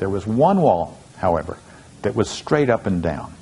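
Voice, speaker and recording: A man speaks at a moderate pace as noticeable background noise carries on behind him. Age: 60s. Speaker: motivational speaker. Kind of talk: storytelling talk.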